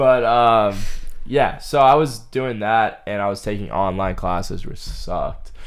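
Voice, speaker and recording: Amid audible room echo, a man with a New England accent talks at a fairly slow pace, medium in pitch with ordinary pitch variation. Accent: New England American. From central Massachusetts. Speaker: college student running a marathon for charity. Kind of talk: casual interview chat.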